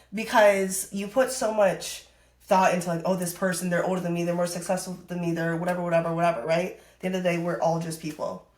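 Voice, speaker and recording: Against noticeable background noise, a woman with an American accent talks very fast in a fairly low pitch, her tone animated and her loudness swinging widely. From US Midwest (northern Wisconsin). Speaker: fitness influencer and coach. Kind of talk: podcast interview. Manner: loud, outgoing; casual, animated.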